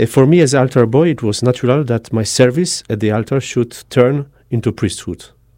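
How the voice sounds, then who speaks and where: Talking at a fairly quick pace in a Polish accent, the speaker has a dark, mellow tone and ordinary pitch variation, on a very clean recording with a silent background. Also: man, medium pitch for a man. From southern Poland, Tarnów. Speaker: missionary priest. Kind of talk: radio interview. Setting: studio. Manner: halting.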